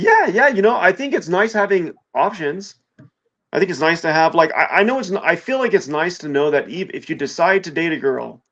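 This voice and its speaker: A man speaks at a high pitch with lively intonation. His pace is fairly quick. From Los Angeles. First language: Spanish. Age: 30s. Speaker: YouTuber and entrepreneur. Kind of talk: casual chat. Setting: driving in his car.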